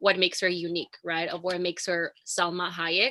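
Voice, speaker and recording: A woman's bright, sharp voice at a moderate pace. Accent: Latin American. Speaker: actor and film student. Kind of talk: panel discussion.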